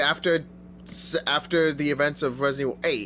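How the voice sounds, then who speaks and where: Noticeable background noise runs through the clip. The man talks at a moderate speed. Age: 20s. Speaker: podcast co-host. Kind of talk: casual chat.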